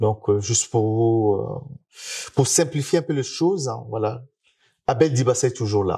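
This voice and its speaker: In a very clean recording with a silent background, a man with a dark, mellow, somewhat breathy tone speaks at a fairly slow pace, with ordinary pitch variation and long, frequent pauses. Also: medium pitch for a man. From Republic of the Congo. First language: Lari (Kikongo) (speaking French). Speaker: musician. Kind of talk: interview. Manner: hesitant, many fillers.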